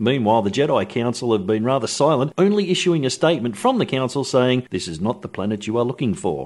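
The delivery is fairly quick, with hardly any pauses. It is an ordinary speaking voice. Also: man. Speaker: radio presenter. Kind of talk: radio talk break with jokes. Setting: radio studio broadcast. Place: studio. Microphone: studio mic.

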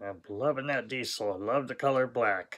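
The tone is bright and sharp. It comes from a man with an American accent. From Southern California. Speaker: diecast collector YouTuber. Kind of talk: unboxing video, casual monologue. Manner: relaxed, with sighs and fillers. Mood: enthusiastic, pleased. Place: home room. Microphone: phone near.

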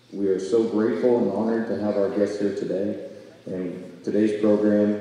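A man talks at a moderate pace in a fairly low voice with fairly even intonation. Strong room echo fills the recording. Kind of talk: ceremony welcome speech. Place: hall. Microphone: podium.

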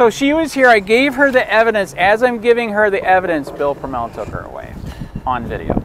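Talking at a fairly quick pace, a man with an American accent uses a high pitch with very wide pitch swings and big swings in loudness. The sound is dry with no echo, over light background noise. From Michigan. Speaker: copwatch activist filming in public. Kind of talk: street interviews with passersby. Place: street. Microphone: phone near.

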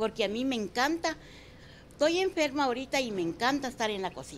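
A woman with a high-pitched voice talks at a fairly quick pace, her pitch swinging very widely. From Guatemala, San Marcos. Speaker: restaurant owner. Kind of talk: interview.

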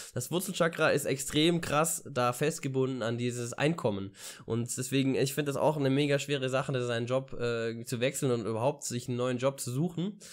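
Against a quiet background, a man speaks at a fairly quick pace with medium pitch and ordinary pitch variation. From Ulm, southern Germany; Germany. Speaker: vlogger and university student; vlogger. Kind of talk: casual vlog monologue. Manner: hesitant, many filler sounds. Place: home room. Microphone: studio mic.

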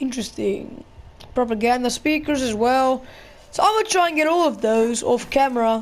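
The woman has a high voice with lively intonation. She talks at a moderate pace. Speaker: gaming YouTuber. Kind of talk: casual gameplay commentary. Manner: casual, chatty.

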